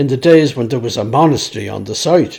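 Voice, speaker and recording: A man talks at a fairly quick pace. He has a Dublin accent. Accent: Dublin Irish. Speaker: author and storyteller. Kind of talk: reading aloud.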